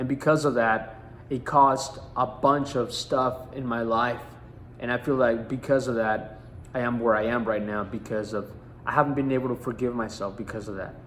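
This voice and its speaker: Here a man speaks at a moderate pace with medium pitch. His intonation is fairly even. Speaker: life coach. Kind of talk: motivational teaching talk. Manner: halting, repeats words.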